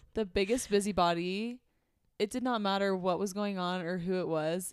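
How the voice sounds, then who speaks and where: A woman's plain, everyday voice with an American accent, ordinary pitch variation, and a very clean recording over a silent background. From Arizona. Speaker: podcast host and nurse. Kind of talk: casual chat.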